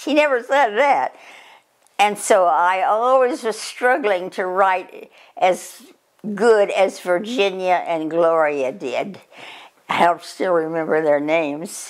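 The pace is very slow. The background stays quiet. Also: woman. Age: 80s+. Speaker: grandmother sharing memories. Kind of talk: reminiscing interview. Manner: halting. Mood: reflective, gently amused. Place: home room. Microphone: camera far.

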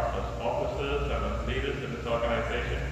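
Strong room echo fills the clip, along with noticeable background noise. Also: man. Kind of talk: prayer. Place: church. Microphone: camera far.

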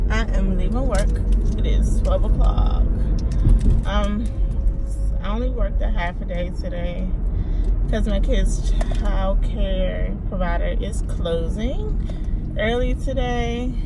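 Against music in the background, a woman speaks at a very slow pace with long, frequent pauses. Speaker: vlogger. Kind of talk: casual vlog chat. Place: car. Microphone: phone near.

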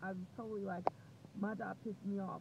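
Loud background noise surrounds a woman talking at a fairly quick pace, though the sound itself is dry with no echo. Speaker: vlogger. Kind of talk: casual vlog chat. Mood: reflective, determined. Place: car. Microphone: earbuds.

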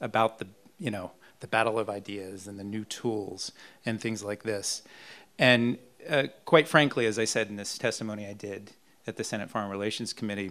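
This man talks at a moderate pace in a normal speaking voice, his pitch sitting fairly low. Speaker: panelist. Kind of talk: panel discussion answer. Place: hall. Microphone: handheld.

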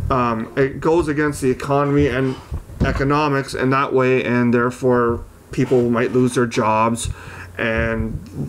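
This is a man's voice. His intonation stays fairly even. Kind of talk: casual commentary to camera. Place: open country. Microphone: camera far.

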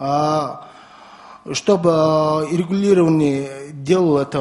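This man talks at a very slow pace in a Mongolian accent, his fairly high pitch showing ordinary pitch variation. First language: Mongolian (speaking Russian). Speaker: environmental activist. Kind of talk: round table discussion. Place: meeting room. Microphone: podium.

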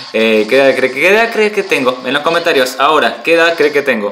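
Noticeable background noise accompanies a man speaking with lively intonation. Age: 30s. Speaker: gaming streamer. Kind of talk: live gaming stream. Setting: at home. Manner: animated.

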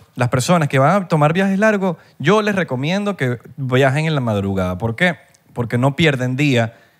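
A man with a Venezuelan accent speaks at a moderate pace, his pitch swinging very widely against a quiet background. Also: fairly high pitch for a man. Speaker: podcast co-host. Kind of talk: casual chat. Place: studio. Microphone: studio mic.

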